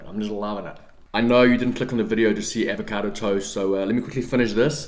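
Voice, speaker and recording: In a room with audible echo, a man with a fairly low pitch speaks in an animated tone at a very fast pace. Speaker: fitness YouTuber. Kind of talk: casual vlog talk. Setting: home, kitchen then office.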